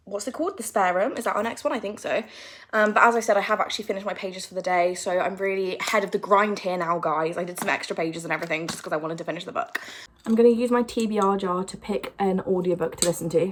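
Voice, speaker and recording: Noticeable background noise runs behind a woman with a medium pitch. She speaks at a very fast pace. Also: ordinary pitch variation. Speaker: booktuber. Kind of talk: casual vlog. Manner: animated.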